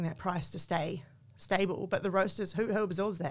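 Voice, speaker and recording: A woman speaks with a New Zealand accent at a moderate pace. The recording is very clean, with a silent background. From New Zealand, small town. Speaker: coffee company marketing manager. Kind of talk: interview.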